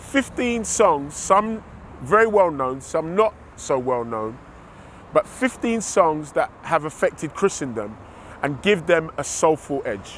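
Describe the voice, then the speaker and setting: A man with a London accent speaks at a very slow pace. His voice sits fairly high and swings very widely in pitch. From England, East London. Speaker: music producer. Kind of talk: promotional interview.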